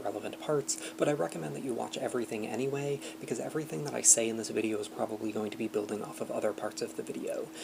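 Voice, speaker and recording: Over noticeable background noise and audible room echo, a man talks very fast with lively intonation. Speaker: debate coach. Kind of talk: lecture. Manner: reading from a script.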